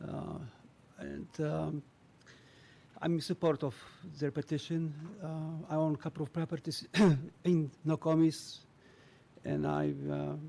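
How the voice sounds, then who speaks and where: A man speaks with a non-native accent at a fairly slow pace. His delivery has long, frequent pauses. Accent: noticeable foreign. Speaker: property owner, public commenter. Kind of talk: public comment statement.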